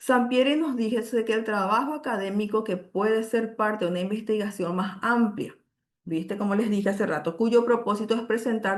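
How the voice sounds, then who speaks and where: This woman has a normal speaking voice at a fairly high pitch. Her pitch variation is ordinary. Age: 50s. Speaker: university lecturer. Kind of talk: lecture.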